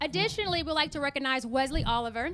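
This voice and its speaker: A high-pitched woman with a Southern accent, on a very clean recording over a silent background. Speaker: forum moderator. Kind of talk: event hosting remarks.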